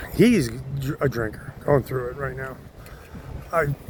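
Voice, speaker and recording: A man mumbles at a fairly slow pace and medium pitch. There is noticeable background noise. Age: 50s. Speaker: chef. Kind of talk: casual talk to camera. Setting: outdoors. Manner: mumbling.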